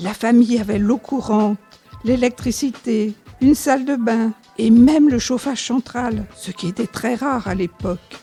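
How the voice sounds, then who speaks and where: Music plays behind a woman with a fairly high pitch. She speaks fairly slowly, with ordinary pitch variation. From Noisy-le-Sec, France. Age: 80s+. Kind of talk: interview answer, reminiscing.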